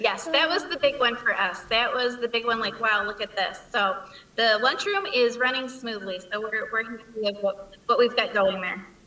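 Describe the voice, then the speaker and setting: A woman's fairly high voice moves at a moderate pace with ordinary pitch variation, against noticeable background noise. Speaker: school principal. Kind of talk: presentation.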